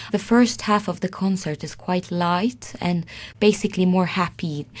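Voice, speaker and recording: The recording is very clean, with a silent background. A woman speaks, her voice somewhat breathy. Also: medium pitch for a woman, ordinary pitch variation, moderate pace. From Sweden. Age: 20s. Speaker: concert pianist. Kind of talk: interview. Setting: radio studio.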